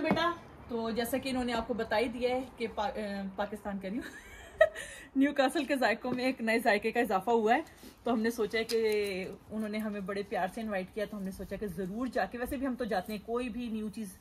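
A woman at a moderate pace with ordinary pitch variation, over light background noise. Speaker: family vlogger. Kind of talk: casual vlog chat. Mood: cheerful, upbeat. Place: street. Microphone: phone near.

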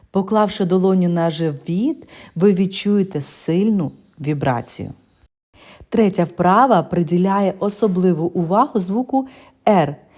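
Her pitch medium and her tone dark and mellow, a woman speaks at a very slow pace with ordinary pitch variation. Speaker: vocal school narrator. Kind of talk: reading aloud.

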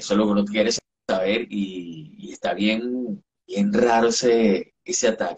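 A man with an unremarkable speaking voice talks at a fairly low pitch and fairly slow pace. His pitch variation is ordinary, with light background noise behind him. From Venezuela, eastern (Sucre state). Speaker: entertainment journalist. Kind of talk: casual chat. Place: home room. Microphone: video call.

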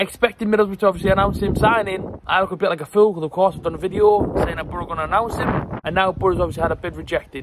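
A man rattles on at a very fast pace with hardly any pauses, in a dry sound with no echo but noticeable background noise. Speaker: football fan vlogger. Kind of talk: casual vlog chat. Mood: slightly embarrassed, frustrated. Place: garden. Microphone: phone near.

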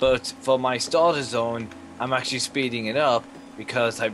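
A man in an English accent at a moderate pace, with noticeable background noise. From England. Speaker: gamer. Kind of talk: casual chat.

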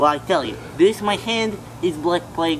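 A man at a fairly slow pace, with noticeable background noise. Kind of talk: comedic character monologue. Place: garden. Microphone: camera far.

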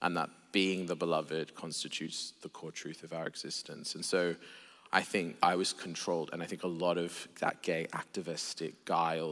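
A man with an Australian accent, very deep and low in pitch, at a fairly quick pace. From Australia (Sydney). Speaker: theologian and preacher; preacher. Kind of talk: casual chat. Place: church. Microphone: headset.

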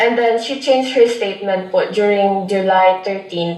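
Noticeable background noise and audible room echo surround a woman speaking with fairly even intonation. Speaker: airport theft complainant. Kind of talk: interview.

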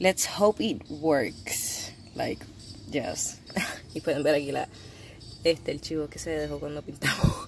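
Speaking at a fairly slow pace with long, frequent pauses, a woman's loudness swings widely against noticeable background noise. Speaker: lifestyle vlogger. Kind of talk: casual vlog. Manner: animated.

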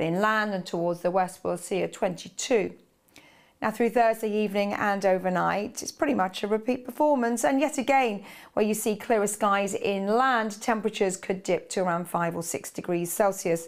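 A woman speaks in an upbeat tone at a moderate pace. Her pitch varies normally, and the background is quiet. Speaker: weather presenter. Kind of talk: brisk broadcast weather forecast walking viewers across a map. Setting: studio. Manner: fluent, upbeat and conversational, pointing out regions and temperatures. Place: studio. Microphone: lapel.

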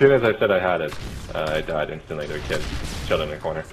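A man speaks at a very fast pace with noticeable background noise. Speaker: gaming friend of the host. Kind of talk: casual chat while gaming. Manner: animated.

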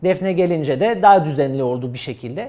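A man speaks with a French accent at a moderate pace. His intonation is lively. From France. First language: French (speaking Turkish). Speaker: esports player. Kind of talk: interview answers; interview answer. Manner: halting. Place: studio. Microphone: lapel.

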